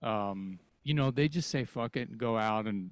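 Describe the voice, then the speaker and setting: An unremarkable speaking voice at a fairly slow pace with ordinary pitch variation, on a very clean recording with a silent background. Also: man. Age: 60s. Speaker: rock singer. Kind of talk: casual chat.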